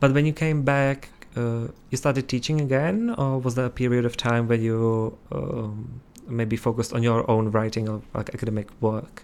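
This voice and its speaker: Pitched in the middle range, a man talks at a moderate pace with fairly even intonation. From Czech Republic. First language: Czech. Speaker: student podcast host. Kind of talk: interview.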